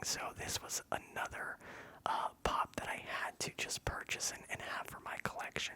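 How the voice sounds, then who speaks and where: A man whispering amid noticeable background noise. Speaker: ASMR content creator. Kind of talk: whispered ASMR ramble about a collection. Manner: whispered, soft, relaxing.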